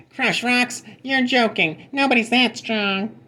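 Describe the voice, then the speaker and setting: A high, squeaky, female-sounding put-on character voice. It moves at a fairly slow pace. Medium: read story.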